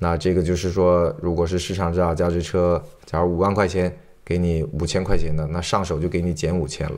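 Speaking fairly quickly, a man with a very deep, low pitch keeps a monotone, flat intonation. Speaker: car dealer and auto channel host. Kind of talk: tutorial. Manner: casual conversational.

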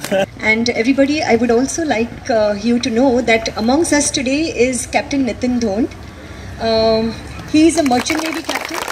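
Against noticeable background noise, a high-pitched woman speaks at a moderate pace with ordinary pitch variation. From India. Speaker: institute representative, emcee. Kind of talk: event speech. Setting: outdoor park event with audience. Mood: warm, grateful. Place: open country. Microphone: camera far.

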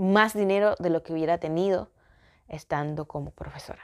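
At a fairly slow pace, a woman with a fairly low pitch and a dark, mellow tone speaks with ordinary pitch variation against a quiet background. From Ecuador. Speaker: vlogger. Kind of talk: personal vlog storytelling. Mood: reflective, personal storytelling. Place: home room. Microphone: phone near.

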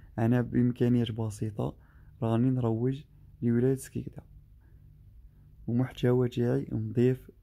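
In a dark, mellow tone, a man speaks at a fairly slow pace with monotone, flat intonation and long, frequent pauses. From Algeria, Skikda; Algeria. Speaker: travel vlogger; driver vlogger. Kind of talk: vlog narration. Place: car. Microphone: phone near.

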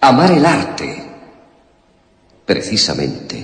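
In a put-on character voice, a man with a fairly low pitch and fairly bright tone swings his pitch very widely at a very slow pace, under strong room echo.

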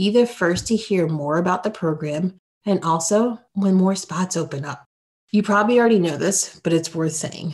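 Speaking at a moderate pace, a woman uses a plain, everyday voice at a medium pitch with ordinary pitch variation. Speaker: podcast host and career coach. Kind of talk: interview.

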